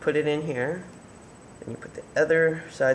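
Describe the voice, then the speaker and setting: A man is mumbling against noticeable background noise. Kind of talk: tutorial talk to camera. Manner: hesitant, mumbling with pauses.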